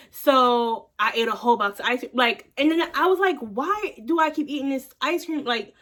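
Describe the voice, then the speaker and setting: Loud and bright with a sharp tone, a woman talks in a high voice with lively intonation and hardly any pauses. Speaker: vlogger. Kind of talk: casual chat. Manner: fast.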